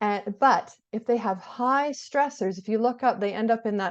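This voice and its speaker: A woman's pitch rises and falls in an ordinary way against a quiet background. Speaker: therapist. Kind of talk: lecture. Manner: fast.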